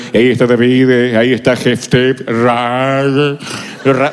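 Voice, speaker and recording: Using a put-on character voice, a man speaks at a very slow pace with a resonant, medium-pitched sound over clear background noise. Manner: solemn, theatrical.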